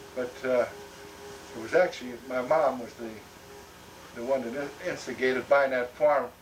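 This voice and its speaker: A man with an American accent speaks with fairly even intonation and big swings in loudness. He leaves long, frequent pauses over noticeable background noise. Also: medium pitch for a man, moderate pace. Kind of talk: family oral history conversation. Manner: halting, many fillers.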